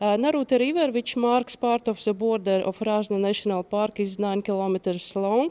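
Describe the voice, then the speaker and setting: A woman in a Latvian accent, fairly high in pitch, with a dark, mellow tone and a moderate pace. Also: dry, close sound with no echo. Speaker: nature conservation outreach worker. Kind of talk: conference presentation. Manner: halting, reading from paper.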